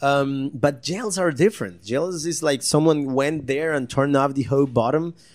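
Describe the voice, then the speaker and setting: In a Costa Rican accent, a man talks with a fairly high pitch. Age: 30s. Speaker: magician. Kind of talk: casual interview. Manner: halting.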